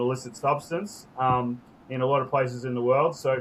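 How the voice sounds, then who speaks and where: A man's medium-pitched, somewhat breathy voice with an Australian accent, monotone and flat in intonation. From Australia, Sydney Northern Beaches. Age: 30s. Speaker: entrepreneur and activist, former pro skier. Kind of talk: podcast interview. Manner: casual, with many fillers.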